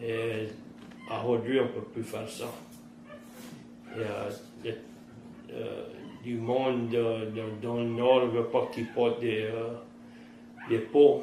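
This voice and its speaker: Against noticeable background noise, a man in a Cajun accent speaks very slowly with long, frequent pauses, monotone, flat intonation and big swings in loudness. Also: medium pitch for a man. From Terrebonne Parish, Louisiana. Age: 50s. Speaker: fisherman and trapper. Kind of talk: interview answer.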